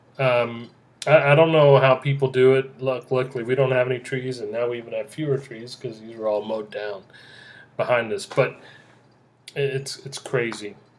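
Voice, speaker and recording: Here a man speaks with medium pitch and fairly even intonation. His loudness swings widely. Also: moderate pace. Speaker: podcast host. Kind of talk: casual solo podcast monologue. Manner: loud, boisterous; halting, many fillers and restarts.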